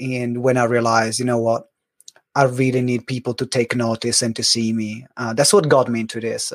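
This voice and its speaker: The pace is fairly quick. The speaker has an Italian accent. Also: man. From Italy. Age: 30s. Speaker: business coach. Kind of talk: interview. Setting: video call.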